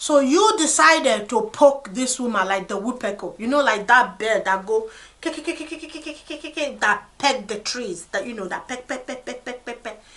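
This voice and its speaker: Over noticeable background noise, a high-pitched woman talks at a moderate pace with hardly any pauses, lively intonation and big swings in loudness. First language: non-English. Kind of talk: advice discussion.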